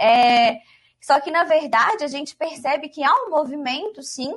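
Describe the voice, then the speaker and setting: Music plays in the background as a woman speaks at a high pitch and a fairly slow pace. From Minas Gerais, Brazil. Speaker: law lecturer. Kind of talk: casual chat.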